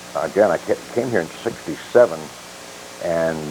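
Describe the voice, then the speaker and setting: Noticeable background noise sits behind the man as he speaks. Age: 60s. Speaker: retired police officer and sheriff candidate. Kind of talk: interview on local talk show. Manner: halting, with many fillers.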